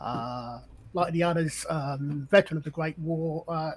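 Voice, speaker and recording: The speaker goes at a very slow pace with an English accent. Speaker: tabletop game player. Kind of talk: tabletop role-play session.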